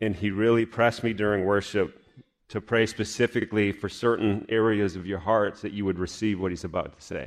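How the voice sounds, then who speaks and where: A man talks fairly quickly in a normal speaking voice, fairly low in pitch with fairly even intonation. The background is quiet. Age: 40s. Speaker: pastor. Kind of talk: sermon. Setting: church.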